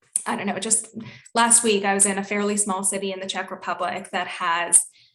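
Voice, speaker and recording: In a Canadian accent, the speaker talks at a fairly quick pace with monotone, flat intonation over noticeable background noise. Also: woman, medium pitch for a woman. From Canada, Toronto. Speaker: environmental communications officer. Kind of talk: webinar panel discussion.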